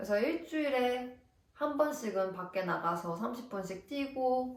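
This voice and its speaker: Speaking slowly, a woman uses a high pitch and lively intonation. Audible room echo and noticeable background noise surround her. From South Korea. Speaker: nurse and vlogger. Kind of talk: vlog advice talk. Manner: casual, friendly.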